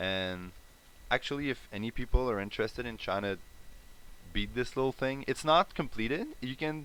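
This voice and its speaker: Lively intonation marks a man speaking in a Quebec accent at medium pitch. He keeps a moderate pace with long, frequent pauses. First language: French. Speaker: indie game developer. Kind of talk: live stream dev update. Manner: hesitant, many fillers.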